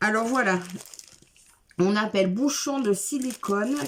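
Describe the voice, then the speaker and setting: This woman talks at a very slow pace. Her intonation is lively. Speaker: craft video creator. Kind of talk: unboxing product review. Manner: casual, hesitant with fillers.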